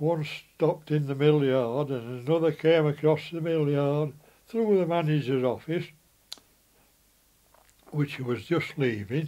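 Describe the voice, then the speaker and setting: In a Yorkshire accent, a man speaks with a dark, mellow tone, a fairly high pitch and ordinary pitch variation. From West Riding of Yorkshire, England. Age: 80s+. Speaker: former mill worker and apprentice plater. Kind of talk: reminiscing about his life.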